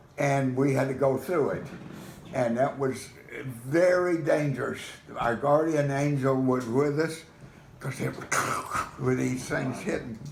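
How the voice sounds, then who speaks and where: Over noticeable background noise, a man with a fairly high pitch talks at a fairly slow pace with fairly even intonation and long, frequent pauses. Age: 80s+. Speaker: storyteller grandfather. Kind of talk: recounting a personal story to family.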